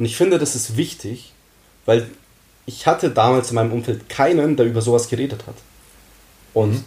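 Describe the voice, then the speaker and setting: Pausing long and often, a man talks at a medium pitch with ordinary pitch variation and a dark, mellow, somewhat breathy tone. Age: 20s. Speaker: student and calisthenics athlete. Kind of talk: casual chat.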